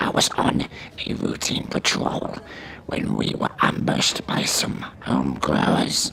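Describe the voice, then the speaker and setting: A man puts on a character voice that is raspy and very deep, with a very low pitch. He goes at a fairly slow pace over clear background noise. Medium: audio drama. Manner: bitter, profane, hostile.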